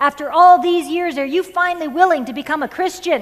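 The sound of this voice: A woman uses a put-on character voice at an extremely high pitch. She talks at a fairly quick pace.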